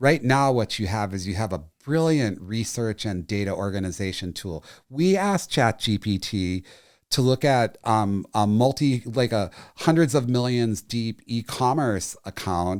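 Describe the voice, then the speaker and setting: A man with a plain, everyday voice and an American accent, medium pitch, lively intonation and fairly slow pace, in a very clean recording with a silent background. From US Northeast, near Boston. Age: 60s. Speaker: marketing executive. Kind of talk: casual interview conversation.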